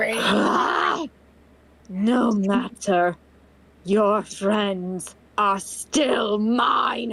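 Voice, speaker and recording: A put-on character voice, female-sounding and at a medium pitch, delivered at a very slow pace with long, frequent pauses. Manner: menacing.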